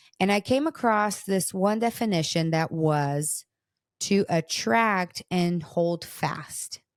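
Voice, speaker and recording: Recorded very cleanly against a silent background, with a dry, close sound and no echo, a woman with a Portuguese accent speaks very slowly at a medium pitch, with lively intonation and very even loudness. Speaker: podcast host, parenting researcher. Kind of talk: casual chat.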